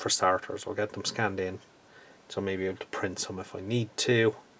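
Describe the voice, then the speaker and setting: A man with an Irish accent speaks at a moderate pace in a fairly low pitch and a relaxed tone. His intonation is monotone and flat, with noticeable background noise behind him. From Ireland. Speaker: scale model hobbyist YouTuber. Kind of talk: casual video update. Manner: relaxed with many hesitations.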